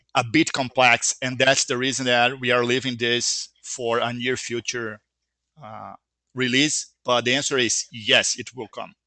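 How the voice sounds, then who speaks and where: A man's medium-pitched voice with a Brazilian accent, a bright, sharp tone and a very slow pace, recorded dry and close with no echo. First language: Brazilian Portuguese. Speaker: software company founder. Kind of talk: live webinar Q&A.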